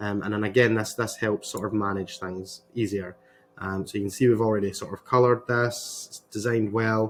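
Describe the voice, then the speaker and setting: Music plays in the background as a man talks with a Scottish accent. His pitch is fairly low and his intonation fairly even. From Scotland. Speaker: web designer, agency owner. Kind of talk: tutorial. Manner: hesitant, many fillers.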